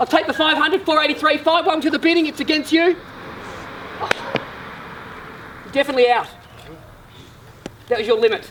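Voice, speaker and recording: Over noticeable background noise, a man talks at a very fast pace with an extremely high pitch, ordinary pitch variation and long, frequent pauses. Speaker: real estate auctioneer. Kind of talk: auction calling.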